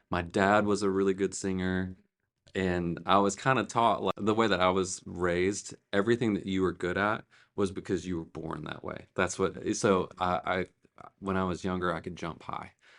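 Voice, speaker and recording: A man's very deep, low pitch and fairly even intonation against a quiet background. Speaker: church worship director. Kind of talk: interview conversation.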